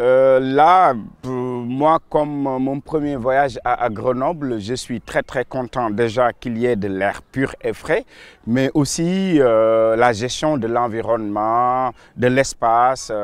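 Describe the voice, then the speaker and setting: Here a man speaks at a very slow pace. His pitch varies in an ordinary way, and the sound is dry with no echo. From Senegal, Saint-Louis; Senegal. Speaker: local politician. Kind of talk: interview. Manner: hesitant, with fillers and repetitions. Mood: calm, pleased. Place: garden.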